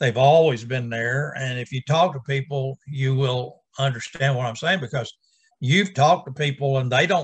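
Somewhat breathy, a man talks at a moderate pace with fairly even intonation over a quiet background. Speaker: bible study teacher. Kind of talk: bible teaching. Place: home room. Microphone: webcam.

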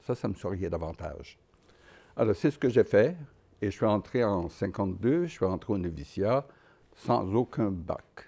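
A man speaks at a fairly slow pace with long, frequent pauses and lively intonation. His voice is fairly low, with a dark, mellow tone. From Quebec, Trois-Rivières area; Quebec. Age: 80s+. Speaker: Dominican friar and painter. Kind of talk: personal reminiscence interview. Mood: calm, reflective. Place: workshop.

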